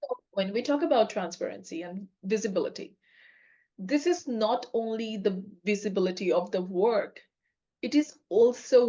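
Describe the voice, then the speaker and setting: Moderate pace and ordinary pitch variation in a woman's speech. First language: not English. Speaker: podcast co-host, agile coach. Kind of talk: casual chat.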